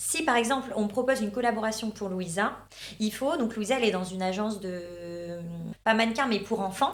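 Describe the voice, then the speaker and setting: A fairly quick delivery in a northern French accent, with ordinary pitch variation, noticeable background noise and audible room echo. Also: woman, fairly high pitch for a woman. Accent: northern French (Ch'ti). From northern France. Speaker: reality TV contestant and influencer. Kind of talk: casual interview chat. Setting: studio. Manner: hesitant, many fillers.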